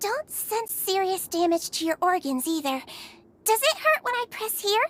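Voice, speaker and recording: A woman puts on a character voice, pitched extremely high and swinging very widely in pitch. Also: moderate pace, dry, close sound with no echo. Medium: video game. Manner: soft, gentle, reassuring.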